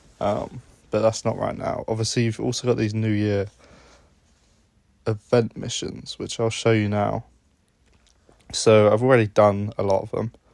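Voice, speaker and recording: A man of medium pitch speaks at a moderate pace in a monotone, flat delivery broken by long, frequent pauses. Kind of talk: gameplay commentary. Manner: casual.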